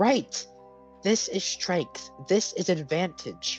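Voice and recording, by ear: Over clear music in the background, a man uses a high-pitched, put-on character voice at a very slow pace.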